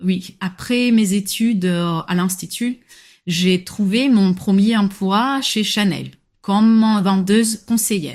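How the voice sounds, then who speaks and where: At a very slow pace, a woman speaks with a somewhat breathy, medium-pitched voice and fairly even intonation, the recording very clean with a silent background. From Morocco, near Agadir. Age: 20s. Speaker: personal shopper. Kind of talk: interview. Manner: hesitant, frequent filler sounds.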